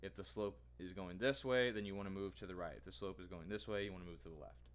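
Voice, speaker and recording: A man with a very deep, low voice and vocal fry talks at a very fast pace, his pitch swinging very widely. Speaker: student vlogger. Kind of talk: tutorial. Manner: halting, many fillers.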